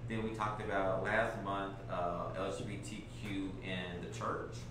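A man talks in a room with audible echo, and noticeable noise sits in the background. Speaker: panel moderator. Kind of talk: panel discussion moderation. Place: meeting room.

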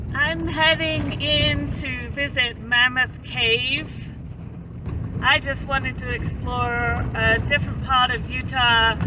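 Very slow delivery over noticeable background noise. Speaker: travel vlogger. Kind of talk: casual vlog chat. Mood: annoyed by crowds, relieved. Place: forest. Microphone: phone near.

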